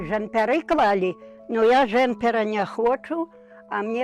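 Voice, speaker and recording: Music can be heard behind the speaker, a woman. She talks at a very slow pace. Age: 80s+. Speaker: village pensioner. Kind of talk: interview answer. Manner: cheerful, matter-of-fact.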